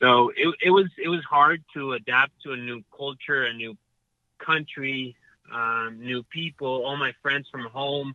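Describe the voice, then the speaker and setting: A man with a Spanish accent speaks at a fairly slow pace and fairly high pitch. His loudness swings widely while his pitch varies in an ordinary way. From Mexico City. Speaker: professional golfer. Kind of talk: interview. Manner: halting, repetitive.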